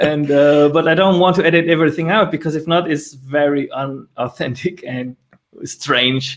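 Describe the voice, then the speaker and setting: At a moderate pace, a man with a plain, everyday voice and a fairly high pitch speaks with fairly even intonation. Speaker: show host for developers. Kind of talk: interview conversation.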